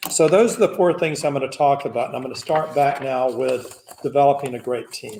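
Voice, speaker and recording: Speaking with a Southern US accent, a man uses a fairly high pitch, ordinary pitch variation and a moderate pace. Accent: Southern US (Georgia). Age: 60s. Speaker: business founder and executive. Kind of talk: keynote speech.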